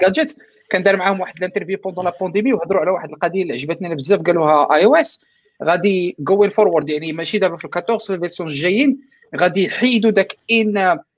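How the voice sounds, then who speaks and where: A man with a high voice speaks very fast, his pitch varying in an ordinary way. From Morocco, Fez. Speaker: cloud engineer. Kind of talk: casual panel discussion. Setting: video call from family home.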